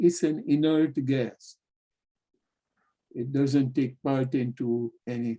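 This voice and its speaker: The speaker has a non-native accent and a dark, mellow tone. The pace is very slow. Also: man. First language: not English. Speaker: spiritual teacher. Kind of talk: lecture.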